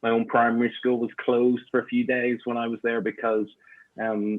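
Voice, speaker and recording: A man speaks with a Northern Irish accent at medium pitch. His pace is moderate and his intonation monotone and flat. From Northern Ireland, Belfast. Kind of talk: interview conversation.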